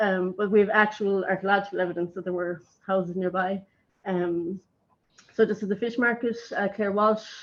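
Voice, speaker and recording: A woman with an Irish accent talks with fairly even intonation. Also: medium pitch for a woman. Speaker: archaeologist. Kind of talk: conference talk. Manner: fast; hesitant, many fillers.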